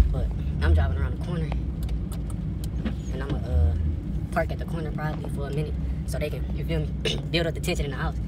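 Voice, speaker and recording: Speech comes at a very fast pace over loud background noise, with a dry sound and no echo. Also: man. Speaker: prank vlogger. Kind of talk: casual vlog chat. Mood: excited, slightly nervous. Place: car. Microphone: phone near.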